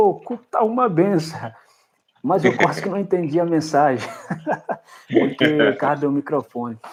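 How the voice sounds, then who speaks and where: A man is speaking. His pitch is fairly high. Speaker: pastor. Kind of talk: casual chat.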